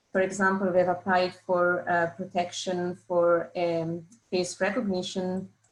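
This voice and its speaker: With an Italian accent, a woman speaks in a monotone, flat intonation. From Italy. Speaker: patent scientist. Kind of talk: webinar presentation. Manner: hesitant, with fillers.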